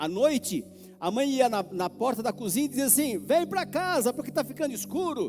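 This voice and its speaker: This man's voice sits extremely high in pitch. It swings very widely up and down. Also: moderate pace. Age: 60s. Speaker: pastor. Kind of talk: sermon. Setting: church. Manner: animated.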